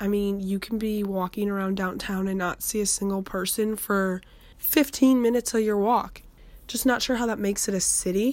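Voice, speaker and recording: Here a woman has a plain, everyday voice at a medium pitch. She speaks at a moderate pace with fairly even intonation. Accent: American. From Chicago suburbs. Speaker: university student interviewee. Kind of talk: casual interview.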